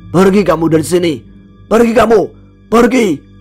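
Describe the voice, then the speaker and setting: A man shouts in a put-on character voice pitched high. Faint music plays in the background. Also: moderate pace. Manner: shouting, commanding.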